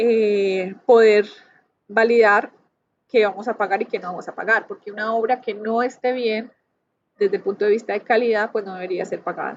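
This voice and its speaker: A woman with a fairly high pitch talks at a moderate pace in a monotone, flat delivery with big swings in loudness. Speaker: university lecturer in construction. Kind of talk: lecture.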